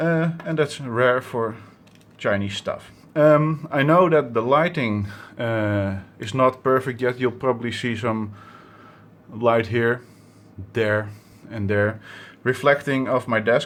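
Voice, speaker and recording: Long, frequent pauses break up a man's very slow speech. He talks with a Dutch accent. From Netherlands. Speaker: electronics hobbyist YouTuber. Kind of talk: tutorial. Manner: halting, many fillers.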